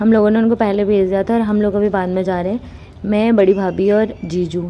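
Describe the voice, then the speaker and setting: A woman's medium-pitched voice at a moderate pace, flat and monotone in intonation. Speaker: vlogger. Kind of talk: casual vlog narration. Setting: outdoors walking, then in a car.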